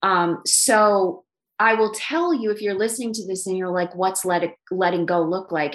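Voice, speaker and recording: Using a normal speaking voice, a woman talks at a moderate pace with medium pitch and ordinary pitch variation. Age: 50s. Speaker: life coach and author. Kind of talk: casual interview chat.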